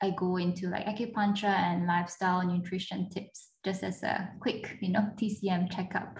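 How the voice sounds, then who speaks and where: Somewhat breathy, a woman talks at a moderate pace. Her pitch is medium and her intonation monotone and flat. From Japan. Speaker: traditional Chinese medicine physician. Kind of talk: interview.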